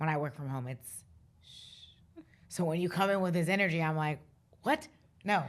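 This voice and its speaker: With a fairly low pitch and ordinary pitch variation, a woman speaks at a moderate pace, leaving long, frequent pauses and making big swings in loudness, on a very clean recording with a silent background. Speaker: finance professional. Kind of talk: casual chat.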